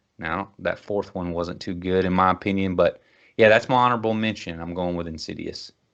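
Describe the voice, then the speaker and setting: A man with a Kentucky accent and a very deep, low pitch, fairly even intonation, over a quiet background. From Kentucky, Bowling Green. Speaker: podcast host. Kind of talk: casual chat.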